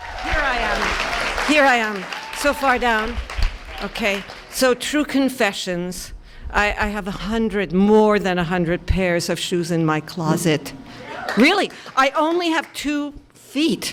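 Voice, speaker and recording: Over crowd noise in the background, a woman with a fairly high pitch speaks at a very slow pace, her pitch swinging very widely. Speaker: storyteller. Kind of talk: live storytelling performance. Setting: live stage before an audience.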